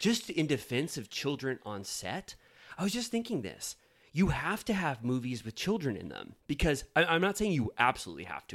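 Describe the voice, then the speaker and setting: A man with a fairly high pitch and vocal fry talks at a moderate pace, his pitch swinging very widely. The recording is very clean, with a silent background. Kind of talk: casual chat. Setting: studio. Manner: loud.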